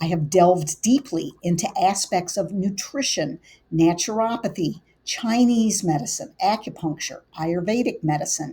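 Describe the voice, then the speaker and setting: A woman with a somewhat breathy, dark, mellow tone speaks at a moderate pace in a medium pitch with lively intonation. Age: 60s. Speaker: integrative medicine physician. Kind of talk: scripted presentation.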